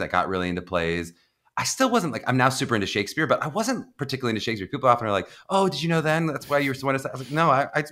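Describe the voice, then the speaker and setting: Very fast American-accented male speech with very wide pitch swings, vocal fry, and a bright, sharp tone. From US, Pittsburgh, Pennsylvania. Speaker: acting coach and actor. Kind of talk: casual interview. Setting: podcast.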